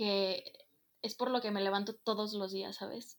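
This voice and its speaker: At a medium pitch, a woman speaks in a monotone, flat intonation. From Mexico, Guadalajara, Jalisco. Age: young. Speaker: student and stage manager. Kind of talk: casual chat.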